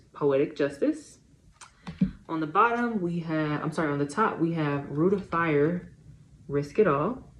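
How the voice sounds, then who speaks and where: A woman speaks with a very deep, low pitch and lively intonation. Noticeable background noise runs underneath. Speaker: tarot reader. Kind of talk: tarot reading monologue.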